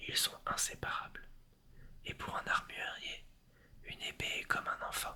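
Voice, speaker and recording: The whispered words come fairly slowly, broken by long, frequent pauses. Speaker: ASMR creator. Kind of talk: reading aloud. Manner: whispering.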